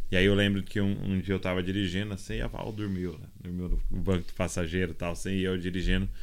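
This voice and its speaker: A man talks very fast in a very deep, low voice, with hardly any pauses. His intonation stays monotone and flat. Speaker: podcast host. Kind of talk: podcast interview. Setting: recording away in Kansas City.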